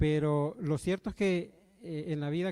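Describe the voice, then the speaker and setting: A dark, mellow tone at a moderate pace with ordinary pitch variation. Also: man. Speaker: church elder, preacher. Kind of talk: sermon. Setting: church with congregation. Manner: halting, many fillers.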